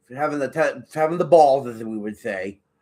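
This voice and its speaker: The recording is very clean, with a silent background. A man speaks at a moderate pace, his pitch fairly high. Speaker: gaming streamer. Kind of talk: live stream response. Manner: hesitant, many fillers.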